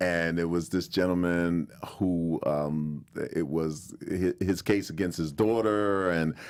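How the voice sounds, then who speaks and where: The speaker has an American accent and talks at a very slow pace. The intonation is fairly even and the loudness very even. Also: man, very deep, low pitch for a man. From Brooklyn, New York. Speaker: actor and TV court bailiff. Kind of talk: casual interview chat.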